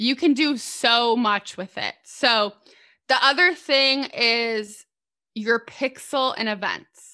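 Against a quiet background, a woman speaks very slowly with a high pitch. Her tone is bright and sharp, and her pitch varies in an ordinary way. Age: 20s. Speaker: social media ads expert, agency owner. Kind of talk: podcast interview.

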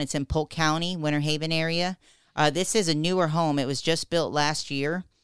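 The recording is very clean, with a silent background. The speech moves at a fairly quick pace. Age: 40s. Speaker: real estate agent. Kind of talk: radio talk show. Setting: radio studio.

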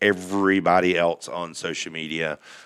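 A man with a Southern US accent, very deep and low in pitch, monotone and flat in intonation, at a moderate pace, in a very clean recording with a silent background. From US South, Alabama. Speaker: off-road community founder. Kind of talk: casual chat. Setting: studio.

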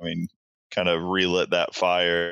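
Over a quiet background, a man with an American accent and a very deep, low pitch talks at a moderate pace in a bright, sharp tone, the sound dry and close with no echo. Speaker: PhD student in wildlife ecology, waterfowl photographer. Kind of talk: casual interview chat.

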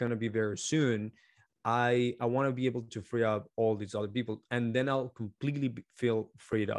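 A man speaks in a Spanish accent at a medium pitch. The background is quiet. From Colombia. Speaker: marketing agency founder. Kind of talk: interview.

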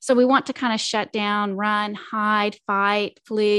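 A woman with an ordinary speaking voice, fairly high in pitch, at a fairly slow pace. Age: 50s. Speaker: life coach. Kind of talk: interview.

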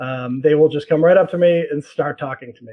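Talking at a fairly quick pace in an American accent, a man has an unremarkable speaking voice, fairly high in pitch with ordinary pitch variation. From Boston. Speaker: author and journalist. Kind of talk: casual interview chat.

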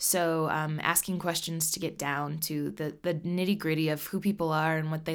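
The intonation is monotone and flat at a moderate pace. The recording is very clean with a silent background. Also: woman. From Nebraska, US Midwest. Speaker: singer-songwriter. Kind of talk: interview.

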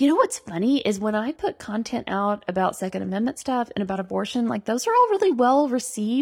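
Over noticeable background noise, the speaker talks at a very fast pace with hardly any pauses. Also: woman, fairly high pitch for a woman. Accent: American. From Arkansas, US South. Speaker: political candidate. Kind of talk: casual interview.

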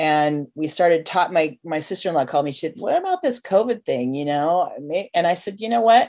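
Over a quiet background, a woman with a Pacific Northwest accent speaks with lively intonation. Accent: Pacific Northwest American. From US West Coast, Portland, Oregon. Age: 50s. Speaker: nurse. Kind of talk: casual chat.

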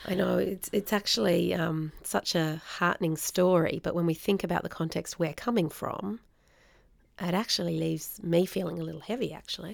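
A woman's voice with vocal fry and an Australian accent, on a very clean recording with a silent background. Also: fairly low pitch for a woman, ordinary pitch variation, moderate pace. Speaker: podcast host, social work educator. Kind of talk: casual discussion.

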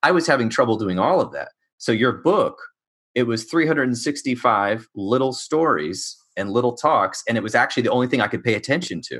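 Against a quiet background, a man with a plain, everyday voice and medium pitch talks at a fairly quick pace with lively intonation. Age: 30s. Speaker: podcast host, licensed counselor. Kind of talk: interview. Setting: video call.

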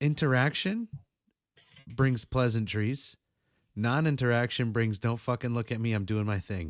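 A man with a New England accent speaks at a moderate pace, taking long, frequent pauses. His pitch varies in an ordinary way. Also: medium pitch for a man. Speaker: podcast host. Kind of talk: casual banter, profane. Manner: rambling, joking, profane.

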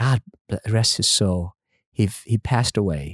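A man speaks with a Vietnamese accent at a moderate pace. The sound is dry and close, with no echo. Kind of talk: interview testimony.

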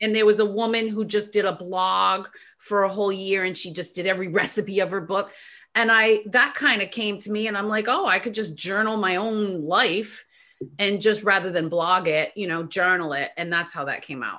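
A woman's bright, sharp voice at medium pitch, with ordinary pitch variation and a moderate pace. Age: 50s. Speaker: author and talk radio host. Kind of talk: casual chat.

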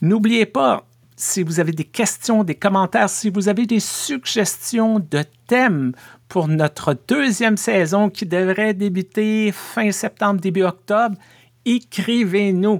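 In a dry, close recording with no echo, a man with a high voice speaks very slowly with ordinary pitch variation. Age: 50s. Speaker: pastor and podcast host. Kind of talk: casual podcast monologue.

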